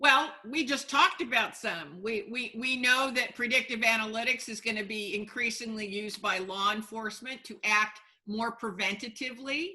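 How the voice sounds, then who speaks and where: Delivered at a moderate pace, this normal speaking voice shows big swings in loudness. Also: woman, fairly high pitch for a woman, ordinary pitch variation. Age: 60s. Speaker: sociobiologist and futurist. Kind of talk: interview.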